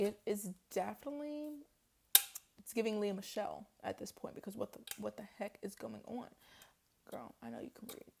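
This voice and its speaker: Speech at a moderate pace, broken by long, frequent pauses. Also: woman. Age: 20s. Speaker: poet and vlogger. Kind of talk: casual vlog talk. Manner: animated.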